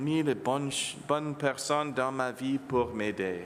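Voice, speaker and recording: A man speaks in an English accent with lively intonation. Noticeable background noise is present. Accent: English-speaking accent in French. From Ontario, Canada, English-speaking home. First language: English (speaking French). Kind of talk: homily. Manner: halting.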